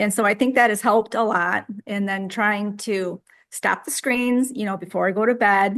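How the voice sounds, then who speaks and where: This woman has a plain, everyday voice, with medium pitch, fairly even intonation and a moderate pace. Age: 60s. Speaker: group member sharing diet story. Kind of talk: casual group chat.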